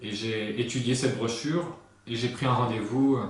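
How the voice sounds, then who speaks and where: A man talks fairly quickly and with fairly even intonation, his voice carrying audible room echo amid noticeable background noise. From north-eastern France, Lorraine (Lunéville near Nancy). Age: 30s. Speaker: hypnotherapist and sales consultant. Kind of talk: interview. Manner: hesitant, many fillers.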